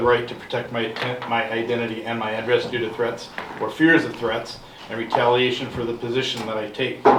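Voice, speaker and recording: A man's medium-pitched, flat monotone voice at a fairly quick pace, with audible room echo and noticeable background noise. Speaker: investigator. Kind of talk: public comment at council meeting. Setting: city council meeting room. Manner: fast; assertive.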